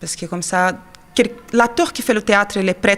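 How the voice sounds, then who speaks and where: A woman's medium-pitched voice with a Portuguese accent. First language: Portuguese (speaking French). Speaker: actress and children's theatre teacher. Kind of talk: interview. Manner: hesitant.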